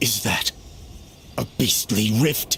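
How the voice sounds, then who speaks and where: A man in a put-on character voice at medium pitch, with clear background noise. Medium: game stream. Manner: formal, measured.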